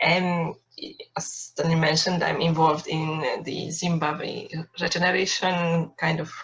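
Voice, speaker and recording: Speaking at a fairly slow pace, a woman with a Hungarian accent has a fairly low pitch. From Hungary. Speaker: workshop participant. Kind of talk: self-introduction.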